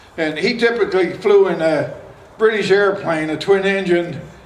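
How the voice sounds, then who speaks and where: With an American accent, a man talks at a moderate pace. There is audible room echo and noticeable background noise. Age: 80s+. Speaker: war veteran and local elder. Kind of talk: public speech at outdoor event. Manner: halting.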